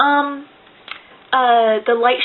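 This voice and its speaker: The woman's voice is fairly high in pitch. Noticeable background noise surrounds her. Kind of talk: casual talk to camera. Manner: fast.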